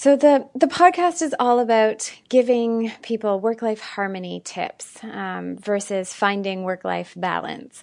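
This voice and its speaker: Over a quiet background, a woman with a normal speaking voice and a fairly high pitch talks at a fairly slow pace with hardly any pauses, lively intonation and big swings in loudness. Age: 30s. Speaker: podcast host. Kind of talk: casual chat.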